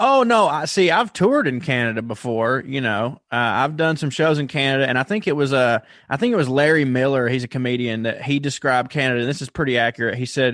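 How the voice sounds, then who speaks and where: Talking at a very fast pace with hardly any pauses, a man with a Southern US accent uses a medium pitch and ordinary pitch variation. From US South. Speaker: comedian. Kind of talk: casual chat. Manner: animated.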